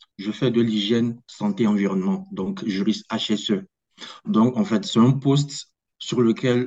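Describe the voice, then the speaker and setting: Fairly slow and with fairly even intonation, a man speaks. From Togo. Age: 20s. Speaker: corporate lawyer. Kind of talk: interview. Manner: hesitant.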